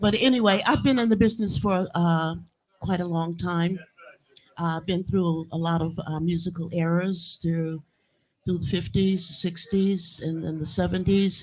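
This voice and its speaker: A woman's somewhat breathy, fairly low voice with an American accent, at a fairly slow pace with ordinary pitch variation. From US South. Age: 80s+. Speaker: blues singer. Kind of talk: interview. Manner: halting.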